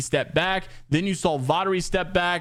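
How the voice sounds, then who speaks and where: Here a man talks in an animated tone. His pitch varies in an ordinary way. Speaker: esports news youtuber. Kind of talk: casual news commentary. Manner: fast.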